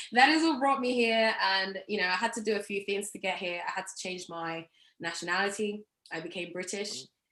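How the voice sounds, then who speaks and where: A woman with an English accent talks at a fairly quick pace with a medium pitch and ordinary pitch variation. Her tone is bright and sharp. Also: big swings in loudness. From England. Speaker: marketing professional. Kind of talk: interview.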